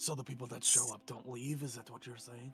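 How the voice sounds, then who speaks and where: Over clear music in the background, a man does a raspy put-on character voice at medium pitch. His pace is fairly quick and his intonation monotone and flat. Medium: actual play. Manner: terse, deadpan.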